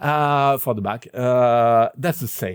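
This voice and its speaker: A man speaks at a very slow pace in a dry, close recording with no echo, very clean and with a silent background. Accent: French. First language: French. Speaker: synthesizer video presenter. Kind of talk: tutorial. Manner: halting, many fillers.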